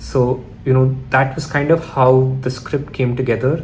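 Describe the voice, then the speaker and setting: A man talks at a medium pitch, with noticeable background noise and an audible echo from the room. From Chennai, India. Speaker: filmmaker. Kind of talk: personal storytelling vlog.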